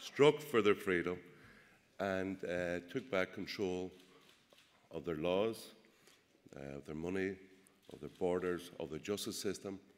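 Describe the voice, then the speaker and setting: In a Northern Irish accent, a man with a very deep, low pitch speaks at a fairly slow pace with ordinary pitch variation, long, frequent pauses and big swings in loudness. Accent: Derry. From Northern Ireland, Derry. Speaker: politician and press officer. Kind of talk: political speech. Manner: hesitant, many fillers.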